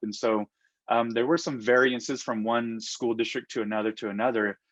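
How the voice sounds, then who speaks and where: A man's medium-pitched voice with a Navajo Nation accent, dry and close with no echo, over a quiet background. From Navajo Nation, US Southwest. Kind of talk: interview. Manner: hesitant, many fillers.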